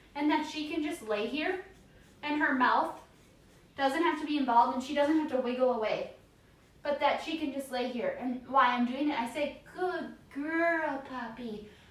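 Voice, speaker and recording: Audible room echo surrounds a woman speaking in a high pitch at a moderate pace, with a soothing tone and ordinary pitch variation. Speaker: dog trainer. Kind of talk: tutorial.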